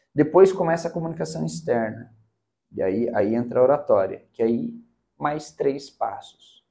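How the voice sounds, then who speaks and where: Lively intonation runs through this man's dark, mellow voice as he speaks at a moderate pace. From Curitiba, southern Brazil. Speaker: public speaking mentor. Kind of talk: casual interview.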